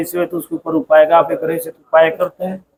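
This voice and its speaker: A man speaks with a high pitch. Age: 60s. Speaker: village temple priest. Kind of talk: interview.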